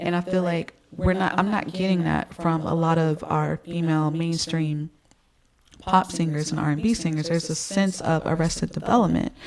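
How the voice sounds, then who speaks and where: A woman's fairly low, monotone voice at a moderate pace, with flat intonation and noticeable background noise. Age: 30s. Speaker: music YouTuber and singer. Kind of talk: casual commentary vlog. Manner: hesitant, many fillers.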